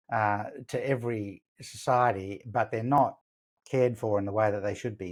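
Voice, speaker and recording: A man speaks with an Australian accent. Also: very clean recording, silent background. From Western Australia. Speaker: sales coach. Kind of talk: interview.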